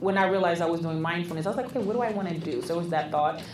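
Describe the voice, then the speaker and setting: Over music in the background and audible room echo, a woman speaks at a medium pitch with ordinary pitch variation. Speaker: therapist and podcast co-host. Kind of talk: casual chat.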